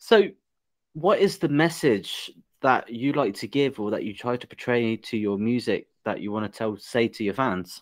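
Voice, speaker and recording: In a very clean recording with a silent background, a man with an English accent talks at a moderate pace, his medium pitch carried by lively intonation. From England. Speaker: podcast host. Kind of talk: casual interview.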